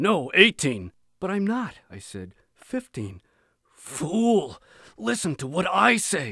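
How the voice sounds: This is a natural reading voice heard against a quiet background.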